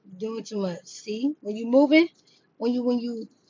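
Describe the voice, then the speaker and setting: The speaker is a woman with a high-pitched voice. She talks at a moderate speed. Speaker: tarot reader. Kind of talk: tarot reading. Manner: animated.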